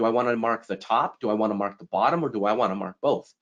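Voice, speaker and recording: The speaker is a man with a medium pitch. He goes at a very fast pace. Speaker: software technical specialist presenter. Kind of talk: live software demo tutorial. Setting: live webinar presentation.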